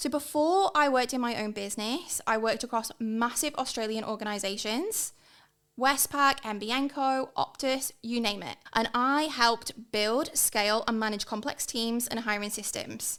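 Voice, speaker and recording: Spoken in an English accent, the delivery has ordinary pitch variation. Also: woman, fairly high pitch for a woman, moderate pace, very clean recording, silent background. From northern England, near Liverpool. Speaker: hiring and leadership consultant. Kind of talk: podcast monologue. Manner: enthusiastic.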